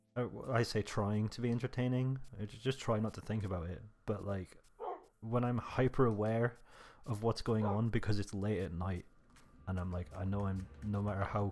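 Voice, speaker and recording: A quiet man with a British accent speaks at a moderate pace, his pitch fairly low and his intonation fairly even. The recording is very clean, with a silent background. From Britain. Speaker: gaming YouTuber. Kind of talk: relaxed gameplay monologue. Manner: naturally loud; trying to talk quietly.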